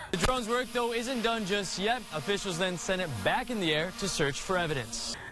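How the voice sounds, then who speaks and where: Over noticeable background noise, a man with a high pitch projects a raised voice at a moderate pace, with lively intonation and hardly any pauses. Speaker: morning news anchor and reporter. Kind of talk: local TV news anchor read.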